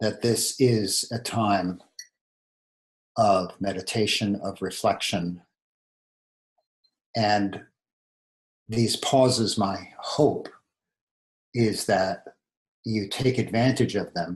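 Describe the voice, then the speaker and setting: A man at a very slow pace, fairly low in pitch and somewhat breathy, with fairly even intonation and long, frequent pauses. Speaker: meditation teacher. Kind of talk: dharma talk. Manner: pausing often.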